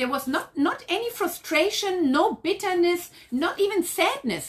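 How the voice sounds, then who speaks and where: The speaker is a woman with a German accent. She keeps a moderate pace. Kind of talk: casual chat.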